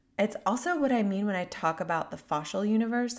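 A woman's normal speaking voice at a moderate pace, with ordinary pitch variation, in a very clean recording with a silent background. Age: 30s. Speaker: podcast host and healing mentor. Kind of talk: reflective solo monologue. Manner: warm, gentle.

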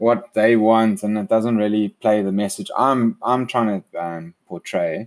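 A man speaks in a normal speaking voice, fairly low-pitched for a man, at a fairly slow pace with fairly even intonation, the sound dry and close with no echo. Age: 30s. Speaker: entrepreneur and podcaster. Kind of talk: casual monologue.

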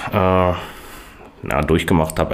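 Noticeable background noise sits behind a man whose voice is very deep and low. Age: 30s. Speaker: podcast host. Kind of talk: casual chat.

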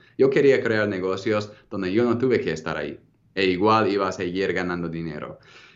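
In a room with audible echo, a man with a fairly low pitch speaks at a fairly quick pace with ordinary pitch variation. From United States. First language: English (speaking Spanish). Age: 30s. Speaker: entrepreneur. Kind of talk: interview.

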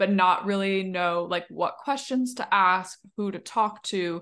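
At a moderate pace and medium pitch, a woman speaks in a normal speaking voice against a quiet background. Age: 20s. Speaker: podcast host. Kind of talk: casual interview chat.

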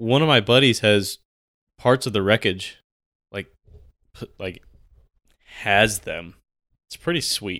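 Recorded very cleanly against a silent background, a man with a bright, sharp, medium-pitched voice speaks at a fairly slow pace with long, frequent pauses, big swings in loudness and ordinary pitch variation. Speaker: podcast co-host, soldier. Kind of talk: casual chat. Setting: recording room.

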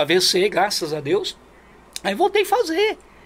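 A man's fairly slow speech is heard with noticeable background noise behind it. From Brazil, Alto Tietê region of São Paulo state. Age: 40s. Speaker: amateur football sports announcer and field reporter. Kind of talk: casual interview.

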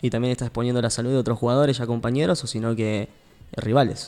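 Talking at a very fast pace, a man uses a medium pitch, a dark, mellow tone and fairly even intonation. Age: 20s. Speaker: radio sports show host. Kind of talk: casual sports radio panel.

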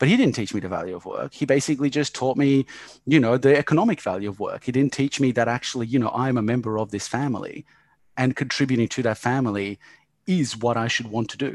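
With an Australian accent, a man talks at a very fast pace in a medium-pitched voice. His pitch varies in an ordinary way, over a quiet background. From Yugoslavia, raised in Australia. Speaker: business owner. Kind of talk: casual chat.

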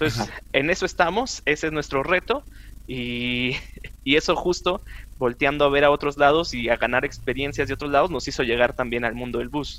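His tone bright and sharp with some vocal fry, a man with fairly high pitch talks at a fairly quick pace with ordinary pitch variation. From northern Mexico, Chihuahua. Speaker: chemist and road safety advocate. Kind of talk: casual interview.

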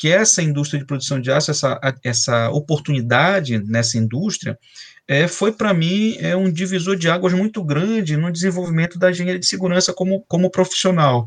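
Talking at a fairly quick pace, a man uses lively intonation. His pitch is high. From Brazil, Belém do Pará. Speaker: chemical engineer and professor. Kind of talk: interview. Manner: halting, many fillers.

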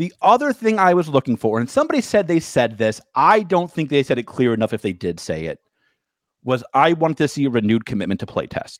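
An animated man speaks at a very fast pace with a fairly high pitch and very wide pitch swings. The sound is dry and close with no echo. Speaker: podcast co-host. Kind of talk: casual banter, with a mock infomercial pitchman bit at 47:29. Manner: animated, teasing, salesy 'but wait, there's more' pitch delivery; fast, interrupting.

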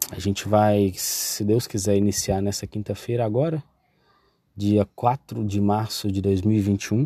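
Spoken at a very slow pace, the dark, mellow voice keeps fairly even intonation on a very clean recording with a silent background. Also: man. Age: 20s. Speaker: podcast host. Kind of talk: casual monologue. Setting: in a car on the street. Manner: hesitant, many fillers.

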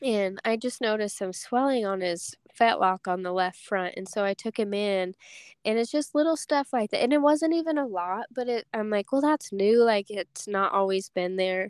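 With a plain, everyday voice, a woman talks at a fairly high pitch and a moderate pace, her intonation lively, in a dry, close sound with no echo. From Wyoming (from age six; born in Wisconsin). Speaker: professional barrel racer. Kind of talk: interview chat. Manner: frequent filler ums.

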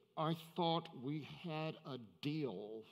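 Doing a put-on character voice, a man speaks at a fairly high pitch with ordinary pitch variation.

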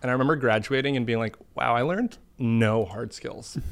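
An American-accented man at medium pitch and a fairly quick pace, with ordinary pitch variation and a plain, everyday voice. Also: very clean recording, silent background. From US Northeast, Boston. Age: 20s. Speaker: internet video artist. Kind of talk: casual chat.

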